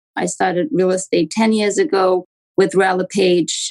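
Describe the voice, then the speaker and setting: A woman speaks at a fairly slow pace in a strong Romanian accent, her pitch in the medium range. Her intonation is lively, and the sound is dry and close with no echo. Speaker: real estate agent. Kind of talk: podcast interview.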